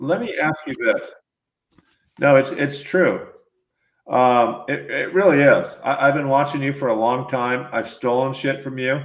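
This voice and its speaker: This man has an unremarkable speaking voice with a fairly high pitch. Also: fairly even intonation, fairly slow pace. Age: 60s. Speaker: podcast host interviewing mountain bikers. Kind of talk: casual interview chat.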